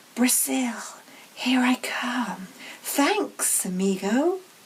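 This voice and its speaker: A woman does a put-on character voice at a high pitch, with hissing. She speaks at a very slow pace. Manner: cheerful, thankful.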